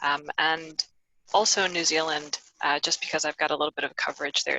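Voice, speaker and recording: Someone talks at a fairly quick pace with an American accent. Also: woman. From US, Miami, Florida; Ecuadorian family. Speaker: payments risk professional, panelist. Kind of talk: webinar panel introduction. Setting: video call.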